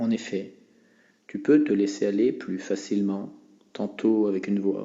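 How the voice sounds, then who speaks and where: A man in a normal speaking voice, fairly low-pitched and fairly slow, with fairly even intonation. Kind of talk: hypnosis relaxation guide. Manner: soft, slow, soothing.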